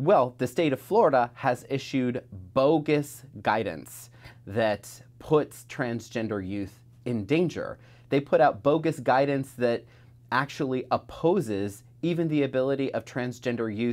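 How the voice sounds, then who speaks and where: Fairly slow pace from a man, with ordinary pitch variation. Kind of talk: interview answer. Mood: earnest, critical. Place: office.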